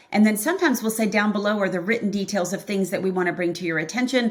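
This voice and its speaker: A woman talks very fast at a medium pitch, with ordinary pitch variation. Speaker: accounting practice consultant. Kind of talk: podcast interview.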